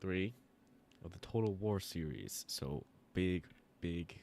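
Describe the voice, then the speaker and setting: A soft-spoken man talks with a very deep, low pitch. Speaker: gaming streamer. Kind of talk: live gameplay stream chat. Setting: live stream. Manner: casual, halting. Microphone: quiet audio, sitting closer to mic than usual.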